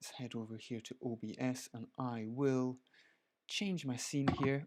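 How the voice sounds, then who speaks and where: A man with a Scottish accent speaks at medium pitch in a dark, mellow tone. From Scotland. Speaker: photographer. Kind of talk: live stream tutorial. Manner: casual, chatty.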